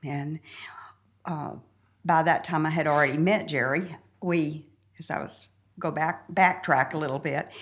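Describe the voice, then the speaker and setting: With a Southern US accent, a woman speaks in a very deep, low pitch with fairly even intonation and long, frequent pauses. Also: moderate pace. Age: 70s. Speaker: church member sharing her story. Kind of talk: casual interview chat.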